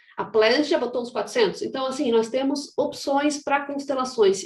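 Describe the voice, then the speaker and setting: A woman speaks at a fairly quick pace in a high voice with ordinary pitch variation, and room echo is audible. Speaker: aerospace engineering professor. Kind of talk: conference presentation. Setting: online panel. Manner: fast.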